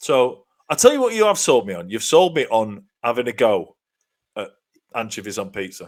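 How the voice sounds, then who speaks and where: A man is talking at a moderate pace. He has a British accent. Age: 40s. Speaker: comedy podcast co-host. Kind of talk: casual chat. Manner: animated.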